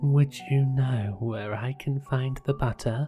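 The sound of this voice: This is a put-on character voice with a low-to-middle pitch. It moves at a fairly slow pace over faint background music.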